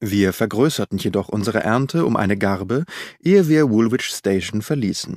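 A man's fairly low, slightly mellow voice with lively intonation, in a very clean recording with a silent background and a dry, close sound with no echo. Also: moderate pace.

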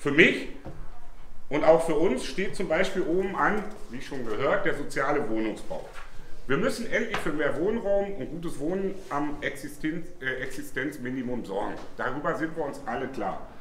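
Room echo is audible around a man's voice. There is light background noise too. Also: moderate pace. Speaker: candidate. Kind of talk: political speech. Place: bar. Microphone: camera far.

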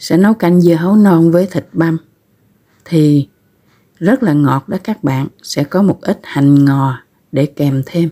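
The speech moves at a very slow pace with long, frequent pauses against a quiet background. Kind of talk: cooking tutorial narration. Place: home room. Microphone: phone near.

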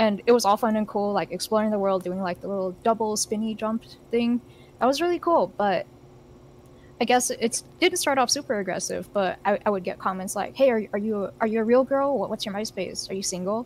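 A woman with a plain, everyday voice, fairly high pitch and ordinary pitch variation. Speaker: convention panelist. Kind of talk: live-streamed panel discussion. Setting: video call.

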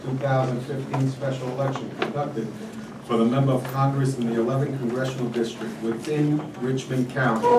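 Amid loud background noise, a man talks at a moderate pace. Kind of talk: formal meeting procedure. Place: hall.

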